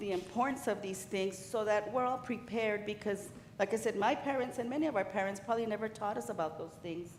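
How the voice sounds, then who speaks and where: A woman with an American accent speaks at a fairly high pitch with ordinary pitch variation. Audible room echo surrounds her voice. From El Paso, Texas (Ysleta). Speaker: insurance benefits advisor. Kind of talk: sales presentation. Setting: city council meeting.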